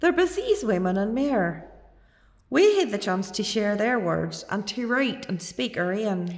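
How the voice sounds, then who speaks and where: A woman with an Ulster accent, medium pitch and lively intonation, at a fairly slow pace amid noticeable background noise. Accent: Ulster-Scots. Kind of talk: poetry reading.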